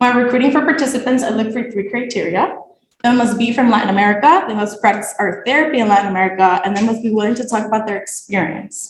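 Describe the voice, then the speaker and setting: A woman speaks at a very fast pace in a fairly high voice with lively intonation. There is audible room echo. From Nicaragua. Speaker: graduate student. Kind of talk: thesis presentation.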